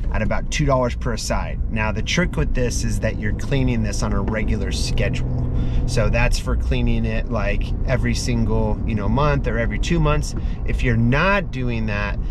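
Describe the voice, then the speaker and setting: Loud background noise sits behind a man speaking at a moderate pace, with a dry sound and no echo. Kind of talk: casual vlog chat. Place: car. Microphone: phone near.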